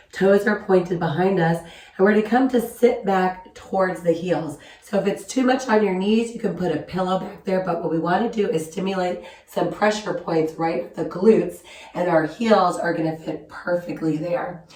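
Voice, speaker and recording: A woman speaks at a medium pitch with ordinary pitch variation. Her pace is moderate, and background noise is noticeable. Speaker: yoga instructor. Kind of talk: guided yoga class instruction. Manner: calm, gentle.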